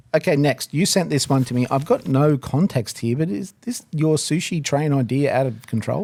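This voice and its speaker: Speaking at a moderate pace with hardly any pauses, a man with an Australian accent has a fairly high pitch, a dark, mellow tone and lively intonation. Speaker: barbecue podcast co-host. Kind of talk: casual chat. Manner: mumbles words, mispronounces.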